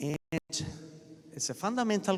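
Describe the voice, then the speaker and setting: A man with an Italian accent, his pitch swinging very widely. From Italy. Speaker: professor. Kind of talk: lecture. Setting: stage with audience.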